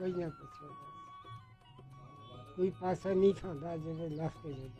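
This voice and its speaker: Music plays behind a man with a fairly high pitch. His loudness swings widely. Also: ordinary pitch variation. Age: 80s+. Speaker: newspaper vendor. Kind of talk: interview answer.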